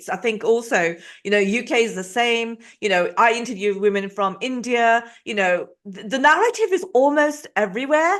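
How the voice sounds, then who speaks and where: Her English accent comes through at a moderate pace. This woman's voice sits fairly high, with lively intonation. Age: 50s. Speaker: podcast host. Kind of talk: interview.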